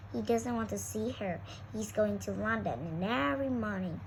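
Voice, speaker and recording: A husky, low-pitched put-on character voice at a moderate pace, with clear background noise. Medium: read story. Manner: terse.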